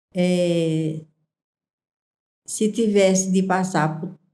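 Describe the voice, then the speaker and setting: Here a woman speaks with a dark, mellow tone. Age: 60s. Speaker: small business owner. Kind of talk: interview.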